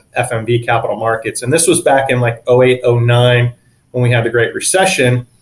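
A man speaks with an American accent at medium pitch, somewhat breathy. His pace is fairly quick and his intonation monotone and flat. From San Diego, California. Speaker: private investment fund principal. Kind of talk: interview.

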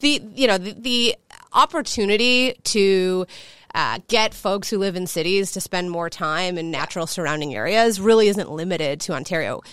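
A woman with a Chicago accent speaks at a moderate pace and a medium pitch, with lively intonation. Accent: Chicago American English. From US Midwest, Chicago. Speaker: hospitality company co-founder. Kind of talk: interview conversation.

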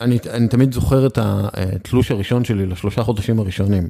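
At a moderate pace, a man speaks with a medium pitch, ordinary pitch variation and a dark, mellow tone. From northern Israel. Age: 40s. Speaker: sports journalist. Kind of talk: casual interview.

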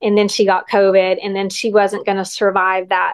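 A plain, everyday voice at a moderate pace. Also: woman. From West Texas. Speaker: occupational therapist. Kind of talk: interview about caring for her aging mother.

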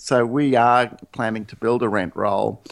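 Speaking in an Australian accent, a man uses a medium pitch and fairly even intonation, with vocal fry. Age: 50s. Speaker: real estate agent. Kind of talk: interview. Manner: hesitant, repeats words.

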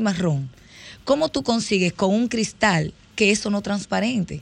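Lively intonation marks this woman's ordinary speaking voice, pitched in the medium range and delivered at a moderate pace. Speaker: dentist. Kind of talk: radio interview.

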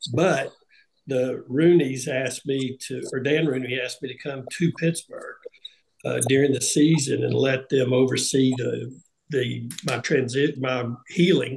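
A man with a Southern US accent, medium in pitch, at a fairly slow pace. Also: fairly even intonation. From US South, Tennessee. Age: 60s. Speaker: retired NFL punter. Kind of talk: panel discussion.

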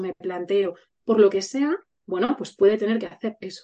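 Dark, mellow tone with ordinary pitch variation at a moderate pace. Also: woman. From Spain, Burgos. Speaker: educator. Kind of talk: casual chat.

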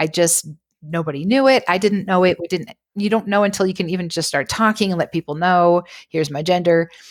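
On a very clean recording with a silent background and a dry, close sound with no echo, a woman with a plain, everyday voice talks at a fairly quick pace, fairly low in pitch, with ordinary pitch variation. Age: 40s. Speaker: mental health counselor, guest expert. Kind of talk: casual interview chat.

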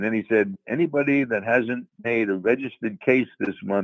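With an American accent, a man speaks at a moderate pace and medium pitch. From New York. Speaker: retired DEA agent.

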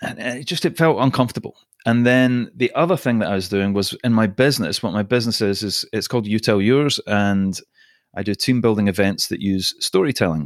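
Speaking with a Scottish accent, a man talks at a fairly quick pace and a medium pitch with ordinary pitch variation. The recording is very clean, with a silent background. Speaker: podcast host and storytelling team-building trainer. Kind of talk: casual interview chat.

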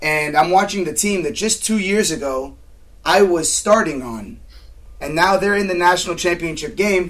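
Speaking with an American accent, this voice shows ordinary pitch variation. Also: man, high pitch for a man, moderate pace. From Southern California. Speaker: mental performance coach. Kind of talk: interview.

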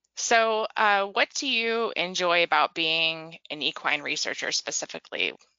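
Here a woman talks with ordinary pitch variation. It is an unremarkable speaking voice. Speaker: podcast host and magazine editor. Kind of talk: interview, scripted intro.

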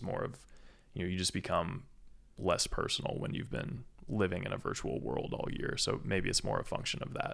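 His pace is moderate. The speaker is a man with an American accent. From Indiana. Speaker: business school student and army veteran. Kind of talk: casual chat.

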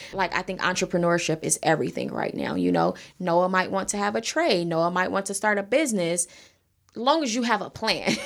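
A woman's voice with vocal fry at a fairly quick pace. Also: medium pitch for a woman, ordinary pitch variation. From South Los Angeles, Crenshaw district. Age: 30s. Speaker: nonprofit founder, homelessness advocate. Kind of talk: interview conversation.

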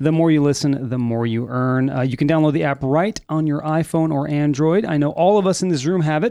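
An ordinary speaking voice from a man, fairly high in pitch, fairly quick with hardly any pauses, and ordinary pitch variation. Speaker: studio producer reading ad. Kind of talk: sponsor ad read. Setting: studio.

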